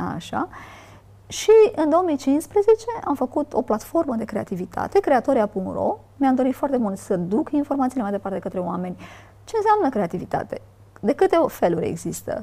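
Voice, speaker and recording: Very wide pitch swings at a moderate pace. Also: woman, high pitch for a woman. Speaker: creative author and podcaster. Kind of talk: interview.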